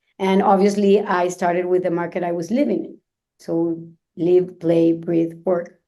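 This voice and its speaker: In a Venezuelan accent, the speaker delivers a dark, mellow tone with monotone, flat intonation at a fairly slow pace. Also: woman, fairly low pitch for a woman. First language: Spanish. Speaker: luxury real estate agent. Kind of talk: podcast interview. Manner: halting, frequent fillers.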